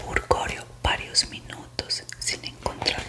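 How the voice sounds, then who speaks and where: A woman whispers at a very slow pace. Noticeable background noise sits behind her. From Colombia. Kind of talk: whispered suspense story reading, ASMR. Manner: whispered, soft, slow.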